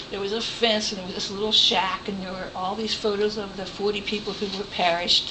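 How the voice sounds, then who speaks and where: A woman is heard amid audible room echo and noticeable background noise. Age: 60s. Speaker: retired volunteer trip organizer. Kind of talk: informal presentation to a group.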